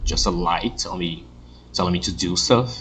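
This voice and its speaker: The speaker goes at a fairly quick pace with a non-native accent. Room echo is audible, and there is noticeable background noise. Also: man. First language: not English. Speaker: gaming youtuber. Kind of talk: let's play commentary. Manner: halting.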